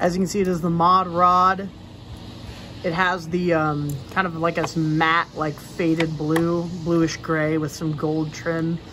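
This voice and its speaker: Noticeable background noise sits under a woman's voice. She speaks at a very slow pace with a fairly low pitch and monotone, flat intonation. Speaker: toy car collector youtuber. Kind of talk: casual product review. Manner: loud.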